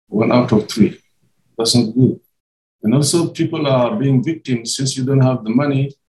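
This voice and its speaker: This man has a medium pitch and a dark, mellow, somewhat breathy tone. He keeps a moderate pace with ordinary pitch variation. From Senegal, Matam on the Senegal River. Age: 60s. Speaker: historian, museum research director. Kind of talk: interview. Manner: halting, repeats words.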